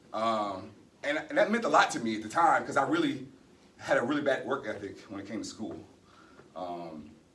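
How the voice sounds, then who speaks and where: A man talks at a fairly quick pace. Room echo is audible, and background noise is noticeable. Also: long, frequent pauses, big swings in loudness. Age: 40s. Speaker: retiring military security forces member. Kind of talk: retirement ceremony speech. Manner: halting, many fillers.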